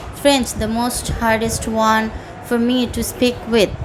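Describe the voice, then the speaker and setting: A woman with a Bengali accent speaks at a very slow pace and a fairly high pitch. Noticeable background noise runs underneath. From Bangladesh. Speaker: IELTS candidate. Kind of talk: mock speaking exam. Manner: halting, many fillers.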